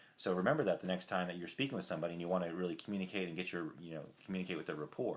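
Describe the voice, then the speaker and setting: His pitch is very deep and low. The man speaks very fast. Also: ordinary pitch variation. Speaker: self-help vlogger. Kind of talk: casual vlog talk. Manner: hesitant, many fillers.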